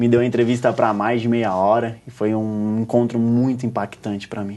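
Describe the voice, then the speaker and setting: A man with a dark, mellow tone speaks at medium pitch and a moderate pace. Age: 20s. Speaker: journalist and writer. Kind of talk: TV interview storytelling. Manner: animated.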